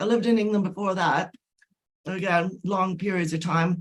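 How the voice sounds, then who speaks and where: A woman speaks with a slight Irish accent. Her voice is somewhat breathy, at a moderate pace. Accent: Irish-tinged. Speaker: author and spiritual channel. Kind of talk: interview.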